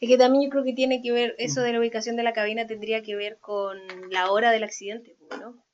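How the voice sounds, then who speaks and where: Speaking very fast with a Chilean accent, a woman keeps a fairly high pitch and fairly even intonation while her loudness swings widely. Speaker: podcast co-host. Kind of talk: casual chat.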